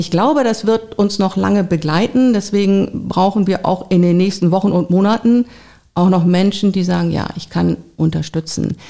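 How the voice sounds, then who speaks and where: A woman talks with a dark, mellow tone. Her pitch is medium, with ordinary variation. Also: moderate pace. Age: 50s. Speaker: volunteer agency coordinator. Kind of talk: interview.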